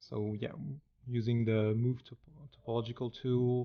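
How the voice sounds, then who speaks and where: With a French accent, a man speaks at a medium pitch in a monotone, flat intonation. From France. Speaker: 3D artist. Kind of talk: tutorial. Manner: halting, many fillers.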